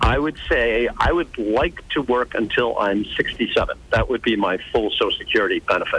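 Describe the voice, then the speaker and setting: A man talks at a moderate pace with very even loudness. Noticeable background noise runs underneath. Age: 50s. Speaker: caller. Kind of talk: call-in question.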